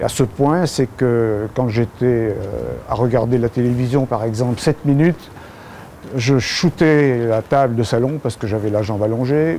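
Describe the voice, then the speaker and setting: Through noticeable background noise, a man talks fairly slowly at a medium pitch with ordinary pitch variation. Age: 70s. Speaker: patient giving testimony. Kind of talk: testimony. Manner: hesitant, many filler sounds.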